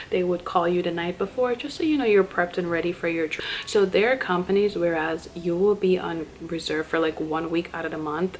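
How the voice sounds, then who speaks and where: Over noticeable background noise, a soft-spoken woman talks at a fairly quick pace with hardly any pauses, at a fairly low pitch with ordinary pitch variation. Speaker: flight attendant vlogger. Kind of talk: casual vlog talk to camera.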